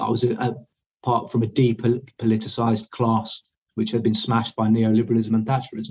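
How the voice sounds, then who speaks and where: With an English accent, a man talks at a fairly quick pace in a somewhat breathy voice, his medium pitch held in a monotone, flat intonation. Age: 30s. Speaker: army deserter, war dissident. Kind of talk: interview. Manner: halting.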